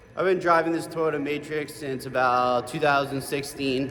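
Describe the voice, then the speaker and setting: Moving at a moderate pace, the man uses an unremarkable speaking voice and fairly even intonation. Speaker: surgery resident. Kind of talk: vlog narration. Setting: in a car.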